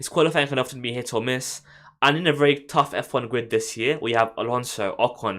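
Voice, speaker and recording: A medium-pitched man with a London accent, bright, sharp tone, ordinary pitch variation and fairly quick pace, in a very clean recording with a silent background. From London, England. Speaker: F1 YouTuber. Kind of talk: live stream chat. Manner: stammering.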